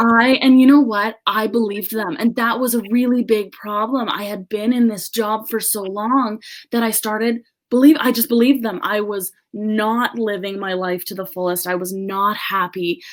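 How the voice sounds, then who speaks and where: A woman with a Canadian accent and a plain, everyday voice, fairly high in pitch, at a moderate pace with fairly even intonation. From Canada, British Columbia. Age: 20s. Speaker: social media business owner. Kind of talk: podcast interview. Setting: podcast interview.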